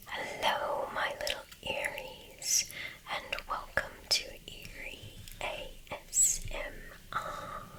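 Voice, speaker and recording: Whispering at a very slow pace, a woman leaves long, frequent pauses as noticeable background noise continues. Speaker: ASMR reader. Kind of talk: sleep story. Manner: whispered.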